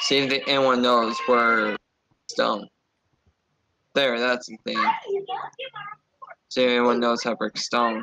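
A man's put-on character voice at a medium pitch, fairly slow in pace, with long, frequent pauses. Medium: machinima. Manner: rambling, anxious, bossy.

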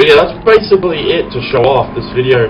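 A man with an Australian accent talks at a fairly quick pace over noticeable background noise. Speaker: gaming YouTuber. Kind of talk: gameplay commentary. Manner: halting.

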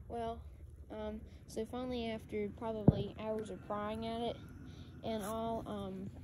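Amid loud background noise, a man with a Southern US accent speaks at a fairly slow pace with long, frequent pauses in a dry sound with no echo. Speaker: RC boat hobbyist. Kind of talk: casual talk to camera. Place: waterside. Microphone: phone near.

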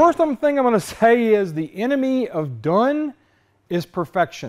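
The background stays quiet while a man talks. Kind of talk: tutorial. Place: workshop. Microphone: lapel.

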